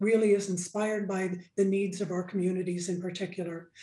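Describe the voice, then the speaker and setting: The voice has a dark, mellow tone and monotone, flat intonation, with audible room echo around it. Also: woman. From Alaska, Nome. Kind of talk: radio interview.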